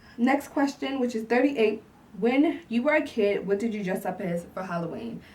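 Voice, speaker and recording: Over noticeable background noise, a woman with a fairly high pitch talks at a moderate pace, her intonation lively. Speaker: YouTuber. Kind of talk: casual vlog Q&A. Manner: halting; filler-heavy.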